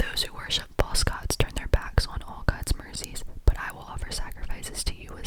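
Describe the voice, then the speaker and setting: A whispering voice comes through noticeable background noise. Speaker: ASMR creator. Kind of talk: whispered scripture reading. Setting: close-mic studio recording.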